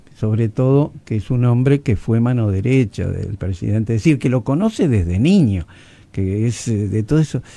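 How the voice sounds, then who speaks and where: This man speaks at a moderate pace in a medium pitch, his tone dark and mellow. His pitch varies in an ordinary way. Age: 80s+. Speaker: journalist and newspaper founder. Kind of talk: radio interview. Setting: radio studio.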